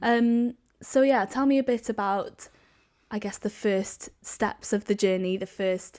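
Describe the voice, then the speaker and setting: Speaking at a fairly slow pace with a Welsh accent, a woman uses a fairly high pitch and fairly even intonation on a very clean recording with a silent background. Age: 20s. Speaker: podcast host. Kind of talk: casual family interview. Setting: family home, video recorded.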